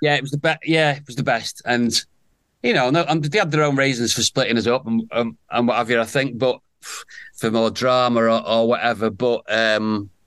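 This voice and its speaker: Against a quiet background, a man with a plain, everyday voice talks at a medium pitch and a moderate pace with ordinary pitch variation. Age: 50s. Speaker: soap opera actor. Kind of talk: casual chat.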